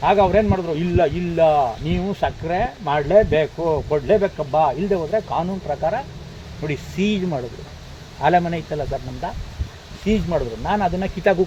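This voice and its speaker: A man talks at a high pitch while noticeable noise sounds in the background. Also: ordinary pitch variation. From Karnataka, Mysore district. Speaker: farmer. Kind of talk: farm tour talk to visitors.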